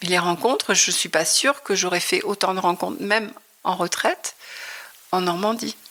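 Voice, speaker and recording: A woman talks at a medium pitch while noticeable background noise can be heard. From Normandy, France (Le Havre). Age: 60s. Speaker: retiree, textile artist. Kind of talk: interview. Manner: hesitant.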